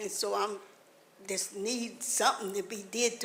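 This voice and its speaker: A woman's fairly high voice in a Mississippi accent, at a fairly slow pace with fairly even intonation and audible room echo. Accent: Southern US, Mississippi. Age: 80s+. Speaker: resident speaking at public comment. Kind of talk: public comment at council meeting.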